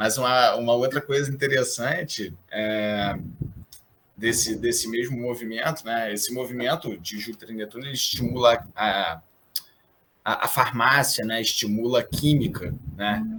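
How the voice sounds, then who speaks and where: A normal speaking voice, a man's at medium pitch, fairly slow, with ordinary pitch variation. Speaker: astrologer. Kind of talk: interview.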